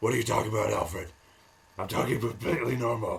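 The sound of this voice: Using a put-on character voice, a man talks at a very fast pace and a medium pitch.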